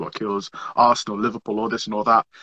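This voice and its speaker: A man with a northern English accent talks at a fairly quick pace in a bright, sharp tone. The sound is dry and close, with no echo. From northern England, Merseyside. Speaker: social media comedian. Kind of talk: podcast interview. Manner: animated.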